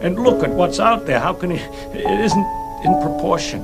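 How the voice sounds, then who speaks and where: A man speaks over music playing in the background. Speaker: scientist. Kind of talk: interview answer. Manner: passionate.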